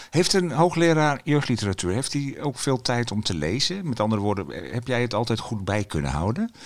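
Talking at a fairly quick pace, a man speaks at medium pitch with very wide pitch swings. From Friesland, Netherlands. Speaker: podcast host, children's book critic. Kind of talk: casual chat. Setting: children's bookshop.

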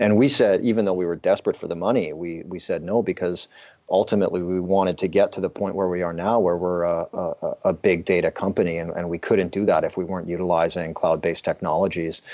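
A man with a Canadian accent races along at a very fast pace with hardly any pauses. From Canadian prairies, southern Alberta. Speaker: entrepreneur and author. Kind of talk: casual chat.

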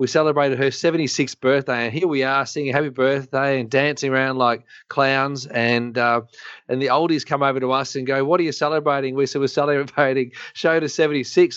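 A man with an Australian accent talks at a fairly quick pace in a fairly high pitch. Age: 40s. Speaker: chiropractor and co-host. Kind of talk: casual interview chat. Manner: joking, lively.

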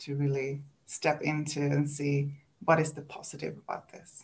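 A woman speaks at a fairly slow pace with a Swedish accent. Her pitch is very deep and low. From Sweden. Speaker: coach for highly sensitive people. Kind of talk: casual interview chat.

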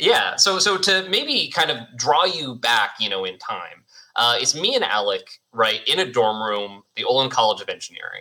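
A man talks at a moderate pace in a medium pitch. His pitch swings very widely. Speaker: tech company co-founder. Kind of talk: casual interview chat.

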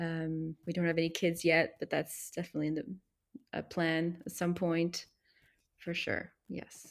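Speaking in a Canadian accent, a woman has a fairly low pitch, a monotone, flat intonation and a fairly slow pace. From Montreal, Quebec (anglophone). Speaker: expat content creator. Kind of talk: interview.

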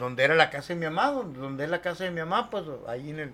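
Using a normal speaking voice, a man with a fairly high pitch talks at a fairly quick pace. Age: 50s. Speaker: paranormal experience witness. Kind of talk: casual storytelling.

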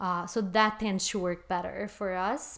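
The speaker talks at a fairly slow pace with a Portuguese accent, on a very clean recording with a silent background. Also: woman. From Brazil. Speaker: coffee shop owner. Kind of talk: interview.

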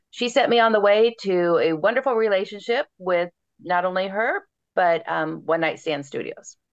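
A woman talks at a moderate pace in a normal speaking voice with ordinary pitch variation. The background is quiet. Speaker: romance author. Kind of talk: casual interview chat.

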